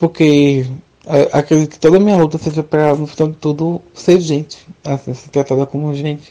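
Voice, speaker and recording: In a very deep, low voice with a dark, mellow tone, a woman speaks at a moderate pace with monotone, flat intonation. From Brazil, Recife (Pernambuco). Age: 20s. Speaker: student. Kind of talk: interview testimony. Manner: halting.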